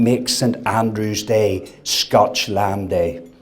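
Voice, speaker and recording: Noticeable background noise surrounds the man's voice. The room gives off an audible echo. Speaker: food industry executive. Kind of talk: after-dinner speech. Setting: dinner event with audience.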